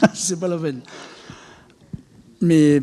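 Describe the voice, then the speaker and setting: Fairly high-pitched male speech with a dark, mellow tone. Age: 60s. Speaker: charity volunteer organiser. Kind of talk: public talk. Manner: animated, hesitant with repetitions.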